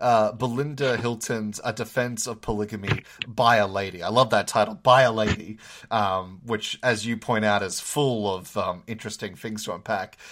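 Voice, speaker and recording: This man has an Australian accent and a fairly low pitch. He keeps a moderate pace and fairly even intonation. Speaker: podcast host, PhD student. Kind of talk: interview.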